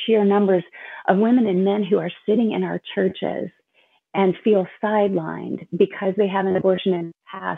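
A woman with a normal speaking voice, fairly even intonation and a moderate pace. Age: 50s. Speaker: ministry director for abortion recovery. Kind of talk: testimony.

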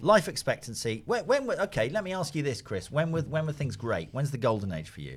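Speaking with a London accent, the man talks at a fairly quick pace with hardly any pauses, his fairly high pitch making very wide swings, with vocal fry. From London, Finsbury Park. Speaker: analyst, podcast co-host. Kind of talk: casual discussion.

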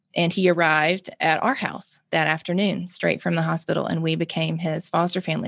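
On a very clean recording with a silent background, a woman with a Mississippi accent speaks at a moderate pace with fairly low pitch and fairly even intonation. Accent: Southern US (Mississippi). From Mississippi, US South. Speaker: nonprofit founder and drug policy advocate. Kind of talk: interview conversation.

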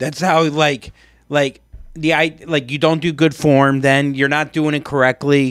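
Music plays in the background as a man speaks at a fairly slow pace. His pitch is fairly high, his intonation monotone and flat. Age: 40s. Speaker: podcast co-host. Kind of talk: casual chat.

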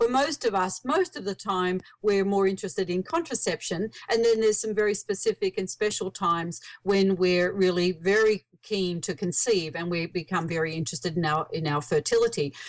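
With an Australian accent, the speaker uses lively intonation at a fairly quick pace with hardly any pauses. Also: woman, medium pitch for a woman. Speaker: author and researcher on birth control. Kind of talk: casual interview.

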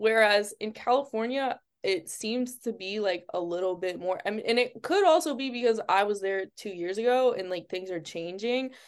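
Speaking with an American accent, a woman uses a fairly high pitch with ordinary variation at a moderate pace against a quiet background. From western Massachusetts, Springfield. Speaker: model. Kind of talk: casual interview chat.

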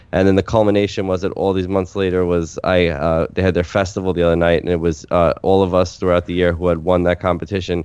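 A man speaks at a very fast pace in a very deep, low voice. His intonation stays monotone and flat. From New York City (Staten Island). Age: 30s. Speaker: stand-up comedian. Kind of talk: casual chat.

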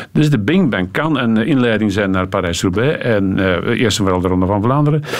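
Lively intonation marks this man's speech at a fairly low pitch and a fairly quick pace. Noticeable background noise runs underneath. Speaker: cycling commentator. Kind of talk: studio talk show interview.

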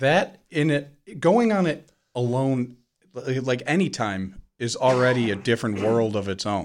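Here a man with a normal speaking voice talks at a fairly slow pace in a medium pitch, with lively intonation. The recording is very clean with a silent background. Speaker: podcast host. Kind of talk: casual banter. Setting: studio. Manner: joking, self-deprecating.

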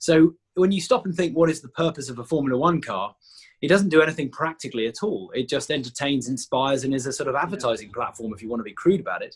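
A fairly high-pitched, somewhat breathy man at a very fast pace, with lively intonation and big swings in loudness. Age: 40s. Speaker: founder of a jet suit company and test pilot. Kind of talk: interview.

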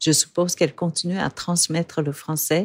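A woman speaks at a moderate pace in a plain, everyday voice of fairly low pitch. The sound is dry and close with no echo, and the recording is very clean with a silent background. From Vietnam. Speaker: podcast host. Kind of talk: scripted narration. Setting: studio.

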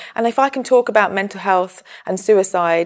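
It is an unremarkable speaking voice with ordinary pitch variation. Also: woman. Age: 30s. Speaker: mental health campaigner and meditation teacher. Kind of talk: casual interview conversation.

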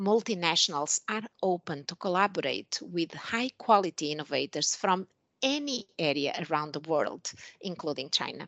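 In a Portuguese accent, a woman with a fairly low voice speaks at a moderate pace with lively intonation. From Portugal. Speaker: pharmaceutical executive. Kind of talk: interview.

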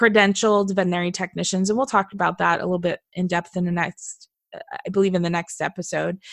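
A woman speaks at a medium pitch in a Californian accent. The recording is very clean and dry, close with no echo, and the background is silent. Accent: California. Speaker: veterinary technician and podcast host. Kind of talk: casual chat. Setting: studio. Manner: animated.

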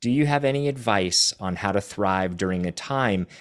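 A man speaks in an ordinary speaking voice, fairly low in pitch, at a moderate pace. The sound is dry and close with no echo. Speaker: podcast co-host. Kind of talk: casual chat.

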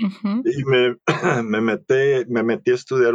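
The delivery comes at a fairly slow pace, with a dry, close sound that has no echo. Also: man. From El Salvador. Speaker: naturopath. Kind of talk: interview. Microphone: noisy recording, microphone issues.

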